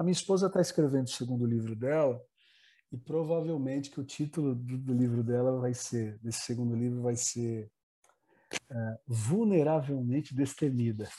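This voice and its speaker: A man talks at a moderate pace in a dark, mellow tone. His medium pitch shows ordinary variation. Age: 30s. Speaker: pastor. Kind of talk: casual chat.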